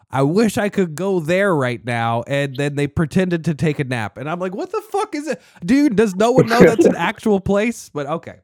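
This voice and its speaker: A man's high voice with an American accent, very wide pitch swings, a moderate pace and hardly any pauses, in dry, close sound with no echo. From Annapolis, Maryland. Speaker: fantasy football podcast host. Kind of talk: casual chat. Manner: animated.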